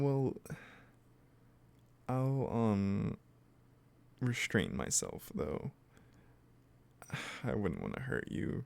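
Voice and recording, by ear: A man uses a put-on character voice with a slightly mellow tone, fairly low pitch and vocal fry, speaking at a very slow pace with very wide pitch swings and long, frequent pauses.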